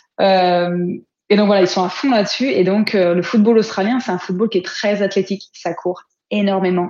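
This woman has a plain, everyday voice, medium in pitch, with fairly even intonation and a moderate pace. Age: 30s. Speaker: football player and coach. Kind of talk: interview.

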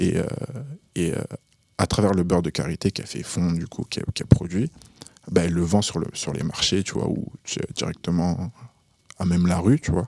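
In a dry, close recording with no echo, a man with a very deep, low pitch talks with long, frequent pauses. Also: ordinary pitch variation, moderate pace. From Burkina Faso. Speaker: rapper. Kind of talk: casual chat. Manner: halting.

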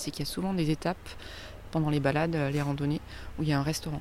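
Her pitch is very deep and low for a woman. She talks at a very fast pace with a monotone, flat intonation. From southern France, Avignon. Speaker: winemaker. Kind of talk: casual chat.

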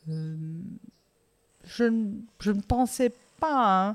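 A woman's pitch moves in a normal way on a very clean recording where the background is silent. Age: 50s. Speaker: interview guest sharing life story. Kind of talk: testimony. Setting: outdoors.

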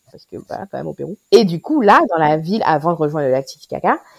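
Very fast and very deep in pitch, a woman speaks in a dry, close recording with no echo. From Guadeloupe. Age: 30s. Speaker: pediatrician. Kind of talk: casual interview. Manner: hesitant, many fillers.

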